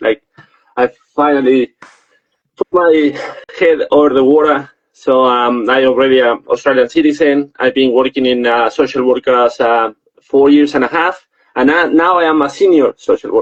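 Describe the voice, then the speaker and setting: A man with a Spanish accent speaks at a moderate pace and a fairly high pitch, with fairly even intonation and very even loudness. Long, frequent pauses break up his speech, and the sound is dry and close with no echo. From Mexico. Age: 30s. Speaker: social worker. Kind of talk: interview.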